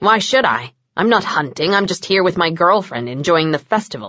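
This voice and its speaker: A woman in a growling, put-on character voice at a moderate pace. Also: medium pitch for a woman. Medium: read story. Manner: blunt, sarcastic.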